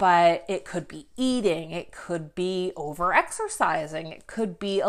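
Speaking at a fairly slow pace, a woman uses an ordinary speaking voice pitched fairly low. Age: 30s. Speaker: podcast host and life coach. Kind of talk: solo podcast monologue. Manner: casual with filler words.

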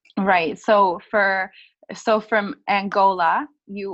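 A woman with an Albertan accent. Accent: Canadian (Alberta). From northern Alberta, Canada. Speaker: podcast co-host. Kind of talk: casual interview. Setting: call.

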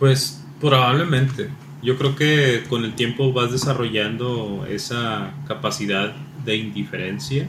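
In a Mexican accent, a man at medium pitch speaks at a very slow pace, with noticeable background noise and audible room echo. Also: ordinary pitch variation. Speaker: podcast co-host. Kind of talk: casual chat.

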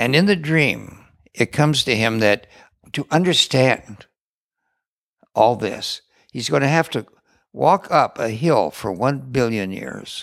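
A man with an American accent and medium pitch, vocal fry and very wide pitch swings, fairly slow with long, frequent pauses, in a very clean, silent recording with a dry, close sound and no echo. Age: 80s+. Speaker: retreat center co-founder. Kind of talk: interview conversation.

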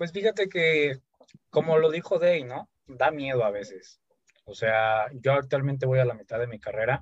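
A man's fairly high, somewhat breathy voice with lively intonation. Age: 20s. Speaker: podcast host. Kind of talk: casual chat.

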